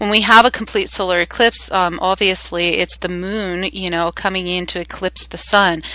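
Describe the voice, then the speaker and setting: A woman's medium-pitched voice at a moderate pace, flat and monotone, with noticeable background noise. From Canada. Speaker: spiritual teacher. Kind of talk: guided meditation talk. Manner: hesitant, many fillers.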